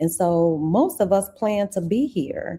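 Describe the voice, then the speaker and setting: A woman with a medium-pitched, somewhat breathy voice and a dark, mellow tone makes very wide pitch swings. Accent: American. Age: 60s. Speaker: investing YouTuber. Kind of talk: livestream talk to viewers. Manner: animated, conversational.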